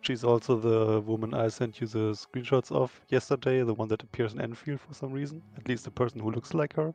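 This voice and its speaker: Over music in the background, a man with a German accent speaks at a moderate pace and medium pitch. His pitch varies in an ordinary way, and the sound is dry and close with no echo. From Germany. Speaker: lore expert co-streamer. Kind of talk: casual chat.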